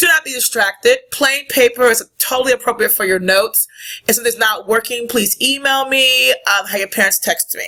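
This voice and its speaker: A loud woman's voice, high in pitch, with a bright, sharp tone, ordinary pitch variation and a moderate pace. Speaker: middle school teacher. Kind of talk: recorded lesson.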